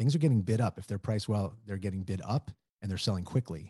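A man's somewhat breathy, dark, mellow voice, fairly low in pitch, dry and close with no echo against a quiet background. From New Orleans. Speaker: real estate broker. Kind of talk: interview.

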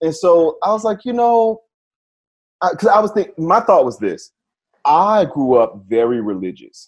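Very wide pitch swings and an animated tone, with long, frequent pauses over a quiet background. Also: man, high pitch for a man, moderate pace. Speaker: podcast co-host. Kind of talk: casual chat.

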